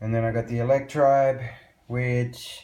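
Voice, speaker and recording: A man speaks fairly slowly, and the room's echo is audible. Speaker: electronic music producer. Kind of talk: tutorial. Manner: casual.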